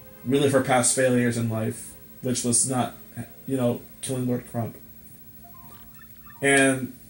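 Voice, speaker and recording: Music plays in the background as a man talks at a fairly slow pace. His medium-pitched voice stays monotone and flat. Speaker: gamer. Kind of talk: let's play commentary. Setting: laptop mic. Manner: casual, sarcastic.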